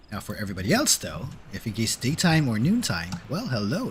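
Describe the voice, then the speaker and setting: The man's voice sits at a medium pitch and is somewhat breathy. His intonation is lively. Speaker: vtuber streamer. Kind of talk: casual gaming livestream chat. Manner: hesitant, many fillers.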